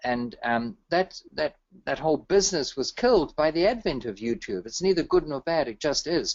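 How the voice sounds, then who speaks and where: The man's intonation is lively. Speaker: real estate investor and author. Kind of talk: webinar interview. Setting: online webinar call. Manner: fast; enthusiastic.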